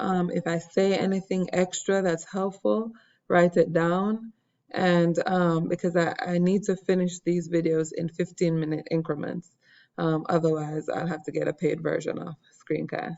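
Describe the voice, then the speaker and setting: At a moderate pace, a woman with an unremarkable speaking voice talks in a fairly low pitch. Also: fairly even intonation. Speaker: science teacher. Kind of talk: lecture. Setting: screen recording.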